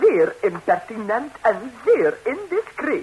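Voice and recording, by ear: A woman's put-on character voice, slow and fairly high, with a husky, rough edge and very wide pitch swings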